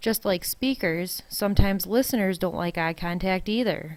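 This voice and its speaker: The speaker talks at a fairly quick pace in a Wisconsin accent, with ordinary pitch variation. The recording is very clean and the background silent. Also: woman. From US Midwest, Wisconsin. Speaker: college instructor. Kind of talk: recorded lecture.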